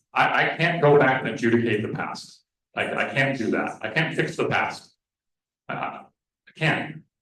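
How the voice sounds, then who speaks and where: A man speaks at a moderate pace with a medium pitch and ordinary pitch variation. Long, frequent pauses break up his speech, and room echo is audible. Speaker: meeting chair. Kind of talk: public meeting. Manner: repetitive, halting.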